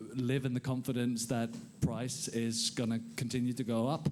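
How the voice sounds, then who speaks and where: In a Danish accent, a man speaks at a medium pitch. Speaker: conference panelist. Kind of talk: panel discussion.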